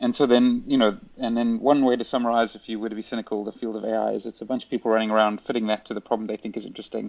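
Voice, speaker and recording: A man's medium-pitched voice with a South African accent, very fast and delivered in a flat monotone. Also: big swings in loudness. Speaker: robotics and AI professor. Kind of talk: casual interview conversation. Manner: halting, many fillers and restarts.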